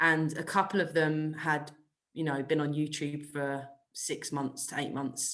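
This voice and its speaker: A woman speaks with a British accent. Her pitch is very deep and low. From UK. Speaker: golf coach. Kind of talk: podcast interview.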